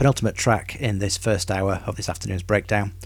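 Somewhat breathy and relaxed in tone, a man speaks at a moderate pace in a fairly low pitch with fairly even intonation. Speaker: radio host. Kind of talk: radio dj patter. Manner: relaxed, conversational, informal.

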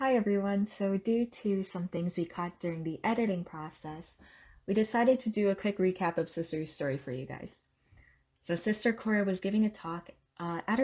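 With a normal speaking voice, a woman talks at a moderate pace at medium pitch with ordinary pitch variation. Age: young. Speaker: podcast co-host. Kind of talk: scripted narration.

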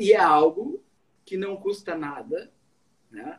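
A man speaks at a high pitch, his intonation lively. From southern Brazil, Rio Grande do Sul interior. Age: 40s. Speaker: medical doctor. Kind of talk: live stream interview. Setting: online live stream.

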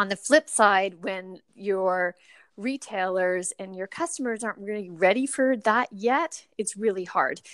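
With lively intonation and big swings in loudness, a woman uses a normal speaking voice at a medium pitch, the sound dry and close with no echo. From Canada, moved around as military child. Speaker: plant-based cafe co-owner. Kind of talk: interview conversation.

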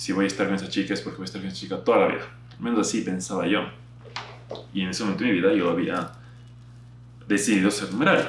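Against noticeable background noise and audible room echo, a man with a fairly low voice talks very fast with very wide pitch swings and long, frequent pauses. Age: 20s. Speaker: youtuber and podcaster. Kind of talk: casual monologue to camera.

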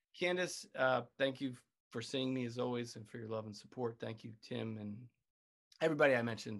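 The speaker has an unremarkable speaking voice and a fairly quick pace. Loudness swings widely while pitch varies in an ordinary way. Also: man, medium pitch for a man. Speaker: podcast co-host. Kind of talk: casual chat, laughing. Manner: laughing, amused.

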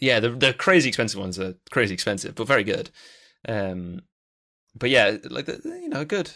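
With a bright, sharp tone and lively intonation, the voice moves at a moderate pace over a very clean recording with a silent background. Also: man, medium pitch for a man. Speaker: podcast co-host. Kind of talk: casual chat.

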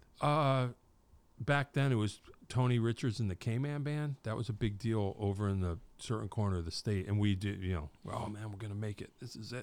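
The recording is very clean, with a silent background. A man with a plain, everyday voice speaks fairly quickly at a fairly low pitch, with ordinary pitch variation. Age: 50s. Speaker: podcast host. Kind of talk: casual interview. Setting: podcast studio.

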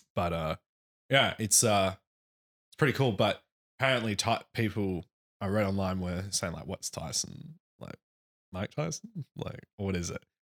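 With lively intonation and big swings in loudness, a man speaks at a fairly low pitch and a fairly slow pace, leaving long, frequent pauses, in a dry, close sound with no echo. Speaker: podcast co-host. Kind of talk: casual chat. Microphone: new studio microphone.

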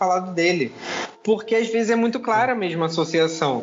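Over noticeable background noise, a man speaks at a high pitch with lively intonation and a moderate pace. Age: 20s. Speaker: co-author and witchcraft practitioner. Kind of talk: casual chat.

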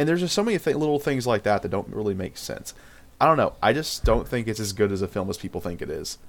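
A man with a medium pitch speaks in a normal speaking voice with lively intonation. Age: 20s. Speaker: podcast co-host. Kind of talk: casual chat.

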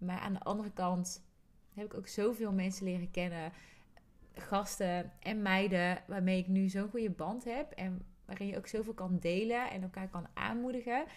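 Medium pitch and ordinary pitch variation from a woman, at a moderate pace. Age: 30s. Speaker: podcast co-host, coach and trainer. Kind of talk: casual chat.

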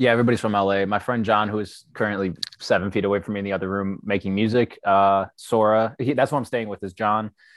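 A man with an American accent talks at a very fast pace with hardly any pauses, his pitch fairly low. The sound is dry and close with no echo, on a very clean recording with a silent background. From Michigan, US Midwest. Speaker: creative brand founder. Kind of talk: casual chat. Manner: animated.

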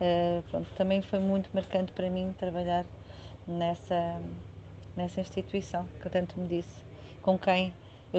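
A woman speaks at a fairly slow pace. Her voice is fairly low in pitch, with a dark, mellow tone. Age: 40s. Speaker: real estate agent. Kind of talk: interview. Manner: halting.

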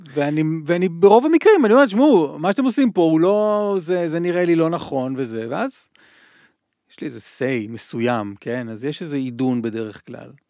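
Over a very clean, silent background, a man with a fairly high voice speaks at a fairly quick pace, with very wide pitch swings and big swings in loudness. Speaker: radio host and journalist. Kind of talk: casual interview chat.

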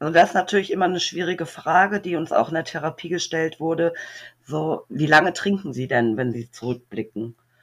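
A woman at a fairly low pitch and fairly quick pace, lively in intonation, a normal speaking voice. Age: 40s. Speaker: recovering alcoholic, single mother of four. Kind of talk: personal testimony interview.

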